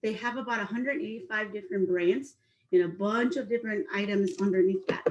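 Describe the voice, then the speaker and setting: A woman speaks with a Mexican accent. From Mexico, Acapulco. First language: Spanish. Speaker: spirits sales manager teaching a cooking class. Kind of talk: online cooking and drinks class. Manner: fast when excited.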